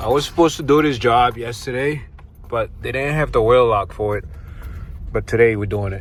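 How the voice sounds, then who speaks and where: Amid noticeable background noise, a man with a medium pitch and ordinary pitch variation talks at a fairly quick pace but with long, frequent pauses. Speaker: mobile car mechanic and vlogger. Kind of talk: casual vlog narration. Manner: casual, slangy.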